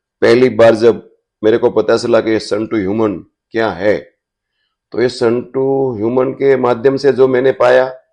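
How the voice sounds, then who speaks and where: Against a quiet background, a man with a medium pitch and a dark, mellow tone talks with fairly even intonation. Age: 70s. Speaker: foundation volunteer.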